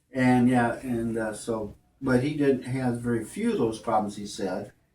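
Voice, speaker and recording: A man speaks at a fairly slow pace and a medium pitch. His tone is dark and mellow, and his intonation is fairly even. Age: 70s. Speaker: cancer patient. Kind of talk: interview. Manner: halting.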